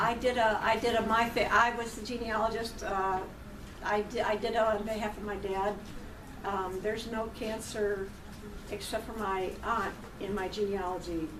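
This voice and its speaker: Audible room echo and noticeable background noise surround a woman speaking in a monotone, flat way at a moderate pace and fairly high pitch. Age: 60s. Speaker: cancer patient sharing her story. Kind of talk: talk to a college class. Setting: college classroom.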